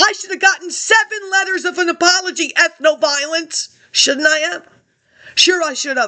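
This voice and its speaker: A woman speaks in a raised, projected voice at an extremely high pitch. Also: ordinary pitch variation, moderate pace. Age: 60s. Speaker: vlogger. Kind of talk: monologue rant. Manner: agitated.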